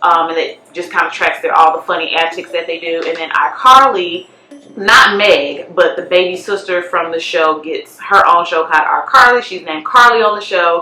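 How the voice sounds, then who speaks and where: With music in the background, a woman of fairly low pitch speaks at a moderate pace with ordinary pitch variation. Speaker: YouTuber. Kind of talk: casual vlog commentary. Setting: basement at home. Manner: loud.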